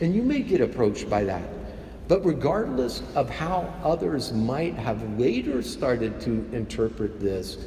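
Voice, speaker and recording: A man speaks at a medium pitch and a fairly slow pace. His intonation is lively, and noticeable background noise is present. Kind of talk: homily delivered at Mass.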